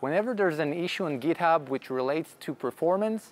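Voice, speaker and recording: Lively in intonation, a man with an Israeli accent speaks at a fairly high pitch. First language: Hebrew. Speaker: software developer. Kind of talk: tech conference Q&A.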